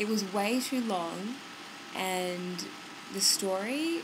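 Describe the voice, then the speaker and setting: Over noticeable background noise, a woman talks at medium pitch with an Australian accent. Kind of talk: casual movie review to camera. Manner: casual, rambling.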